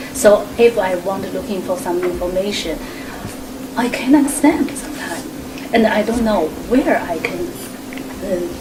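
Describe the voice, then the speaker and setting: Amid noticeable background noise and audible room echo, a woman with a fairly high pitch and lively intonation speaks at a moderate pace with long, frequent pauses. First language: not English. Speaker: immigrant. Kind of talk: group discussion.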